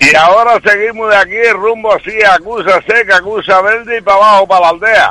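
A man with a high pitch and a bright, sharp tone projects a raised voice at a fairly quick pace, with hardly any pauses and fairly even intonation, the sound dry and close with no echo. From Canary Islands, Telde (Gran Canaria). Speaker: radio caller. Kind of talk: phone-in chat.

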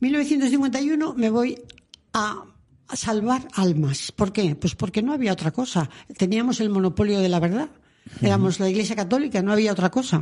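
The voice has a dark, mellow tone and sounds somewhat breathy. It moves at a moderate pace with lively intonation and very even loudness. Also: woman, fairly high pitch for a woman. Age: 80s+. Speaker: former nun and author. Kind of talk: interview. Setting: radio studio.

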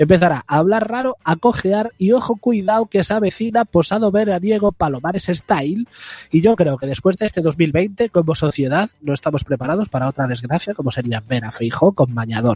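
The voice has a dark, mellow tone and very wide pitch swings at a moderate pace, with a dry, close sound with no echo and a quiet background. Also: man. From Galicia. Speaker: community radio host. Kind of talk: comedic casual chat. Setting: remote from home.

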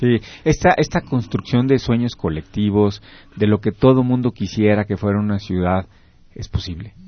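With an unremarkable speaking voice, a man talks at a moderate pace in a fairly low pitch, with ordinary pitch variation. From Mexico, Querétaro. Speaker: radio host. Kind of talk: radio talk show.

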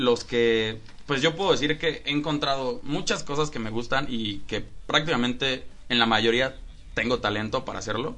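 With a Mexican accent, a man talks at a moderate pace and a medium pitch. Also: ordinary pitch variation. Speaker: podcast host. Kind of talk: casual chat. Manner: animated.

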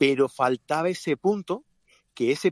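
With a dry, close sound and no echo, a man talks at a fairly slow pace using very wide pitch swings. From Catalonia, of Andalusian roots. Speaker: podcast co-host, photographer and event producer. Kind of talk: casual chat. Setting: in a car.

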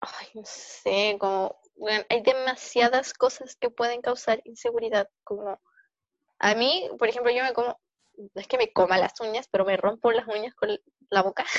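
With a Chilean accent, a woman talks at a moderate pace in a fairly high pitch, her intonation fairly even. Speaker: podcast host. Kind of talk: casual chat.

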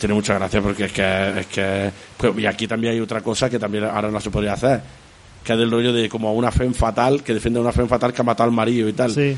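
Over noticeable background noise, a man talks at a very fast pace, medium in pitch with fairly even intonation. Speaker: podcast co-host. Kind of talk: casual chat.

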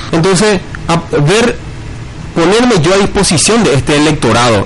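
The speech has lively intonation at a moderate pace. Audible room echo and noticeable background noise are present. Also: man. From Paraguay, Altos (Cordillera department). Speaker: local political candidate. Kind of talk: radio interview, campaign pitch. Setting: radio broadcast.

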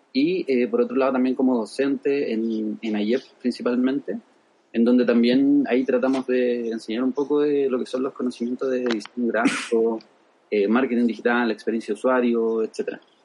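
At a moderate pace, a man with an ordinary speaking voice talks in a medium pitch with fairly even intonation. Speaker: UX designer and design teacher. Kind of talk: interview.

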